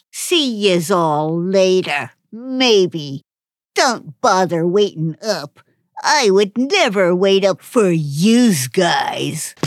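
A woman's put-on character voice at medium pitch, very slow in pace, with lively intonation. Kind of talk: comic overacting. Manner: surly, contemptuous, tough-guy "yous".

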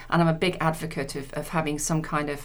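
A woman's voice sits very deep and low in pitch. Audible room echo surrounds it. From Leicester, England. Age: 50s. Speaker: insurance executive. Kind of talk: interview. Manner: halting.

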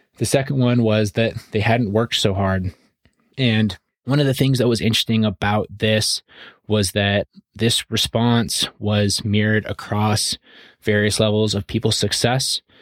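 A man speaks at a moderate pace in an unremarkable speaking voice, with fairly even intonation and very even loudness. The sound is dry and close, with no echo. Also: fairly low pitch for a man. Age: 30s. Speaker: real estate investing podcast co-host. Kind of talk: solo monologue. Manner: casual, conversational with fillers.

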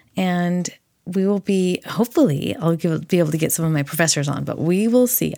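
An ordinary speaking voice from a woman, fairly low in pitch with ordinary pitch variation, moves at a fairly quick pace on a very clean recording with a silent background. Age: 40s. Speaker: podcast host and therapy graduate student. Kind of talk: solo podcast monologue.

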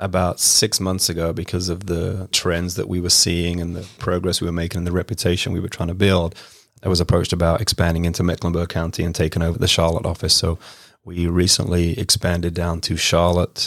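A very deep, low male voice in a British accent, monotone and flat, at a fairly quick pace. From England, west London. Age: 40s. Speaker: home care business owner. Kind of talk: casual interview. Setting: studio.

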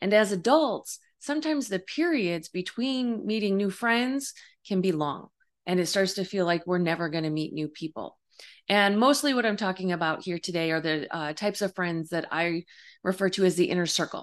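Against a quiet background, a woman with an unremarkable speaking voice talks at a fairly quick pace, her medium pitch carrying lively intonation. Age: 50s. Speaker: life coach and psychic medium podcast host. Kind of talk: solo podcast monologue. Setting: home video recording. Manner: warm, conversational with fillers.

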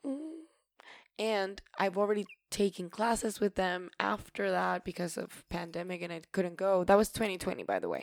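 A woman speaks with a Spanish accent at a medium pitch and a moderate pace. Her pitch varies in an ordinary way on a very clean recording over a silent background. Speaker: podcaster and actor. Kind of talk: solo casual podcast monologue.

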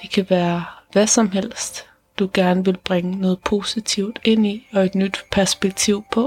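A woman speaks very slowly in a gentle, calm tone with monotone, flat intonation. The sound is dry and close, with no echo. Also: medium pitch for a woman. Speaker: meditation guide and podcast host. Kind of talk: guided meditation. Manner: slow, calm and soothing, with long pauses between sentences; soft-spoken and gentle, reassuring.

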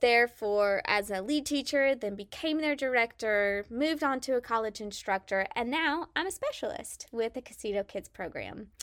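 In an American accent, a woman with a high-pitched, bright, sharp voice speaks at a moderate pace in an enthusiastic, animated tone with ordinary pitch variation, in a very clean recording with a silent background. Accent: slight Southern twang over Midwestern. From Kansas, US Midwest. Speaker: early childhood specialist and podcast host. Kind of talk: educational podcast talk, partly scripted.

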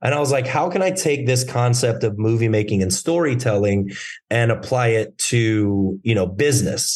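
At a moderate pace and medium pitch, a man speaks with lively intonation, a somewhat breathy voice, and very even loudness. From Germany. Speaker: actor and entrepreneur. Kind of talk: casual interview. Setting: remote call.

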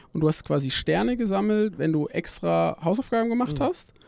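In a very clean recording with a silent background, a man with a fairly high pitch and a dark, mellow tone talks at a fairly quick pace. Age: 30s. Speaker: company founder and PhD researcher in AI. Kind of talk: casual interview.

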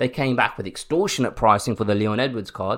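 A man with a British accent, medium in pitch, animated in tone, at a fairly quick pace against a quiet background. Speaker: podcast host. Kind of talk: angry rant. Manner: indignant, animated, openly fuming.

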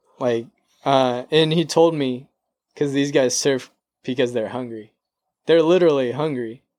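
A man with an American accent at medium pitch, moderate pace and fairly even intonation, with long, frequent pauses. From San Diego, California. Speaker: actor. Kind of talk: casual chat.

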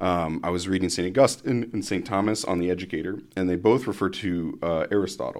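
A man with a Midwestern American accent speaks in a very deep, low pitch, fairly quickly and with hardly any pauses, his intonation fairly even. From US Midwest (Columbus, Ohio). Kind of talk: casual interview chat. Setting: studio podcast.

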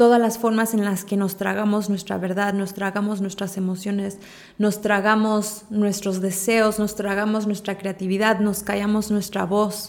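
A woman speaks in a calm tone at a fairly slow pace. Her medium-pitched voice keeps a monotone, flat intonation. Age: 30s. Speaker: spiritual podcaster and coach. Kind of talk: reflective spiritual monologue.

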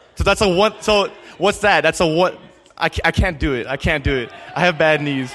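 The pace is moderate, with ordinary pitch variation. Noticeable background noise can be heard. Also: man, high pitch for a man. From Calgary, Canada. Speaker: student evangelist. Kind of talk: testimony. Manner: halting.

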